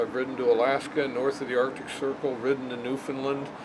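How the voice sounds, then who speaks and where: With noticeable background noise behind him, a man talks at a moderate pace in a fairly high pitch. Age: 60s. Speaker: motorcycle rider. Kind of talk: casual interview.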